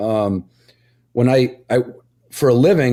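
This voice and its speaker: This man has a dark, mellow tone at a medium pitch. His pitch varies an ordinary amount. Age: 60s. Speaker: hunting dog judge and podcast host. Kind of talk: casual chat. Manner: chatty.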